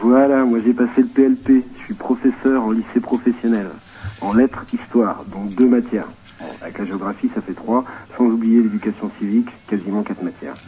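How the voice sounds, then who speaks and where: Over noticeable background noise, a man speaks at a moderate pace and medium pitch, with ordinary pitch variation and big swings in loudness. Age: 30s. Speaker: vocational high school teacher. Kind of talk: phone testimony on radio. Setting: phone call.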